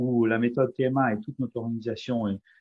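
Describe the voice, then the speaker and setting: Dark and mellow in tone, a man speaks at a medium pitch. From France. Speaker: company CEO, positive psychology speaker. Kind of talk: webinar presentation. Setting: online webinar. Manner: halting, many hesitations.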